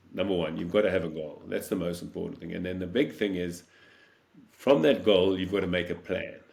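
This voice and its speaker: There is audible room echo around a man with a very deep, low voice. He talks at a fairly quick pace with ordinary pitch variation. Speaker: world champion paddler and motivational speaker. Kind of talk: interview. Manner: energetic.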